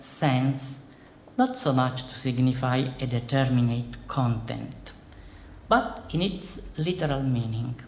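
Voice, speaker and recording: Here a man with an Italian accent speaks at a very slow pace and medium pitch. His pitch variation is ordinary, and there is audible room echo. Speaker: philosophy professor. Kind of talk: lecture. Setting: conference hall with audience. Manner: formal.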